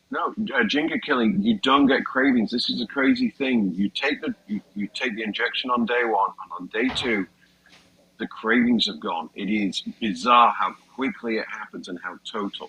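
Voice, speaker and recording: A man with a British accent talks at a moderate pace over noticeable background noise. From Britain. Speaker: comedian. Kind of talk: casual chat.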